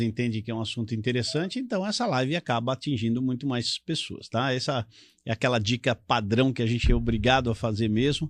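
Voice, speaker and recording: At a fairly quick pace, a man talks in a plain, everyday voice of medium pitch, with fairly even intonation against a quiet background. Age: 60s. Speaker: politician, retired military police officer. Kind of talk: live talk show interview.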